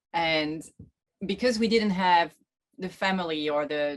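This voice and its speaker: A woman with a very deep, low voice, ordinary pitch variation, and a French accent. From France. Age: 30s. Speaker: sailor, boat-life vlogger. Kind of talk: interview.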